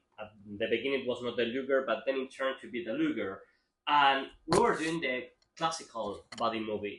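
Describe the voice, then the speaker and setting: The speaker is a man with ordinary pitch variation. He moves at a fairly quick pace. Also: medium pitch for a man. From Spain. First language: Spanish. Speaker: film writer. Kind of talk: interview. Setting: film festival. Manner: halting.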